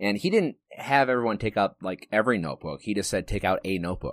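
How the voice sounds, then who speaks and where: A man speaks fairly quickly, captured on a very clean recording with a silent background. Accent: American. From Wisconsin. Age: 20s. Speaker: podcast host, army officer candidate graduate. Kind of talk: casual chat.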